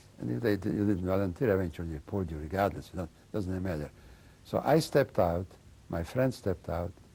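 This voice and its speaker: Vocal fry and a dark, mellow tone, with lively intonation at a fairly quick pace. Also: man. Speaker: Holocaust survivor. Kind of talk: testimony. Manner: mumbling; halting.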